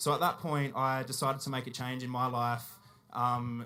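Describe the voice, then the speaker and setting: This man talks at a fairly quick pace with an Australian accent, his medium pitch held in a monotone, flat intonation. The recording is very clean, with a silent background. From South Australia, Whyalla. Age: 20s. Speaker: animal rights activist. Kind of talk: public talk at a festival. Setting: stage with audience. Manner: hesitant, many fillers.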